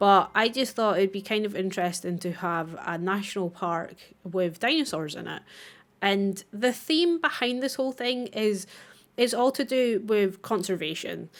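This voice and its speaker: In a Scottish accent, a woman speaks at a moderate pace with lively intonation and a medium pitch. The recording is very clean, with a silent background. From Scotland. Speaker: gaming YouTuber. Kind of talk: gameplay commentary. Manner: casual.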